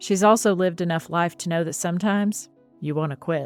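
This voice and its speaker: Music plays in the background as a woman speaks at a fairly quick pace. Her voice sits at a fairly low pitch with ordinary pitch variation. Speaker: podcast host. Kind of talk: podcast intro.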